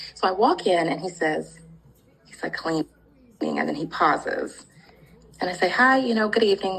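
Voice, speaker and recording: Against noticeable background noise, a woman speaks at a moderate pace with very wide pitch swings. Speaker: comedy skit actress. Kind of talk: interview.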